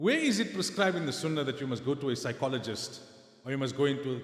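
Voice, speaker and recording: There is audible room echo around a man's voice. He speaks at a fairly quick pace with a fairly high pitch. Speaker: Islamic scholar and lecturer. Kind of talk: lecture.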